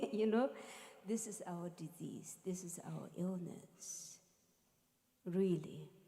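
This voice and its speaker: Very slow speech with a non-native accent and long, frequent pauses. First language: not English. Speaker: musician and spiritual teacher. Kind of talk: talk to a live audience.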